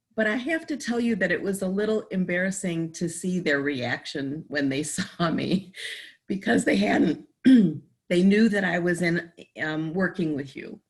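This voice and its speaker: A woman speaks with a fairly low pitch, a somewhat breathy quality and lively intonation. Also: moderate pace. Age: 60s. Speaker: patient. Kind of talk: testimony.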